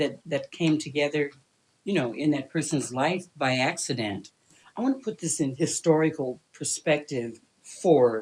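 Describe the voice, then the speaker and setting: A woman talks with a very deep, low pitch. She has an American accent and ordinary pitch variation. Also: moderate pace. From US Midwest (southern Illinois, eastern Iowa). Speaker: retired teacher and social activist. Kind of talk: interview.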